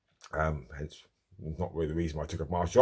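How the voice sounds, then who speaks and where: A man with an English accent mumbles at a fairly quick pace on a very clean recording with a silent background. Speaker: martial arts instructor. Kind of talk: personal vlog monologue. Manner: mumbling; halting, many filler ums.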